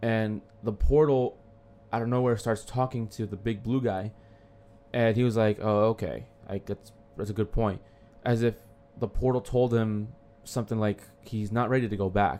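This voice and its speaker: With music in the background, a man speaks at a medium pitch and moderate pace, his intonation fairly even and his speech broken by long, frequent pauses. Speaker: podcast co-host. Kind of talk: casual chat.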